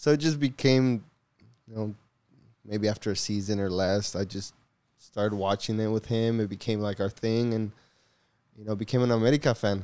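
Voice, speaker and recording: A man talks at a moderate pace, leaving long, frequent pauses. His tone is dark and mellow, and his intonation stays fairly even. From Hollister, California. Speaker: youth soccer coach and podcast co-host. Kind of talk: casual chat.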